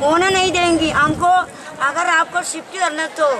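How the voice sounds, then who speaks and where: Over crowd noise in the background, a woman uses a raised, projected voice at an extremely high pitch, talking very slowly with fairly even intonation. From South India. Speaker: protester. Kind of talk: street interview. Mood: aggrieved, indignant. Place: street.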